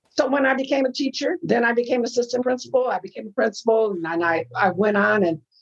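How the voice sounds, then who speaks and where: A woman with an American accent speaks at a fairly quick pace. Her intonation is lively, with vocal fry. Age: 70s. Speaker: retired educator. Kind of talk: interview conversation. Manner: animated.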